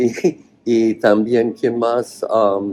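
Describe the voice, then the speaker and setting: The speaker is a man with an English accent. He talks at a very slow pace. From US, Oregon. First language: English (speaking Spanish). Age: 60s. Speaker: cannabis cultivation author. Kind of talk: interview. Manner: halting, with many fillers.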